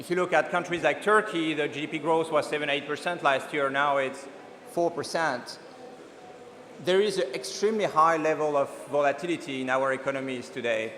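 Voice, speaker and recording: Someone with a French accent speaks at a fairly quick pace with ordinary pitch variation, amid noticeable background noise and audible room echo. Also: man, fairly high pitch for a man. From France. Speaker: venture capital investor. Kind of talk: keynote talk. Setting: conference stage. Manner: halting, many fillers.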